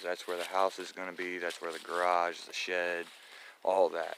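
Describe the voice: The man's voice is low-pitched and fairly bright in tone, with vocal fry.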